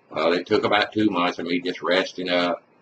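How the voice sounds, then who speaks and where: A man's very deep, low voice in a Mississippi accent, monotone and flat. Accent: Southern US (Mississippi). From US South, Mississippi. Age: 60s. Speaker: retired construction worker. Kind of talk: personal testimony. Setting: webcam recording. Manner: casual.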